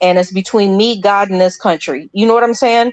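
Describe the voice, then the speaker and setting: A woman speaks in an ordinary speaking voice at a medium pitch with ordinary pitch variation. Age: 50s. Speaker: caller. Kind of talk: call-in discussion.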